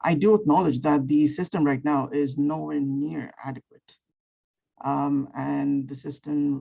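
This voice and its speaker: This woman's pitch is very deep and low, and her tone is dark and mellow. She talks at a fairly slow pace. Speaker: undergraduate student, student board member. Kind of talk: public comment at a meeting.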